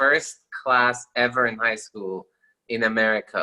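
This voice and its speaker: With a Persian accent, a man speaks at a medium pitch in a bright, sharp tone. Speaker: lawyer. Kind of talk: interview.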